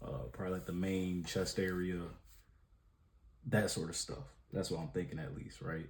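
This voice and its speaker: Mumbling in a very deep, low voice, a man speaks with ordinary pitch variation and long, frequent pauses amid audible room echo. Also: moderate pace. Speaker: drawing vlogger. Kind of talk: casual vlog while drawing. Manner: casual, filler-heavy.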